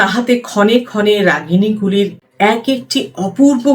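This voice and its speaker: A woman talks at a medium pitch while music plays behind her. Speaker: theatre practitioner. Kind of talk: book reading.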